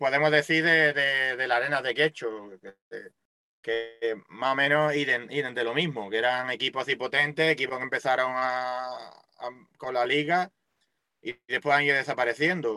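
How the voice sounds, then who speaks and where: A man speaks with a Málaga accent. His tone is bright and sharp, and his intonation is fairly even. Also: medium pitch for a man, moderate pace. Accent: Málaga Andalusian Spanish. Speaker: radio co-host. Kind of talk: casual chat.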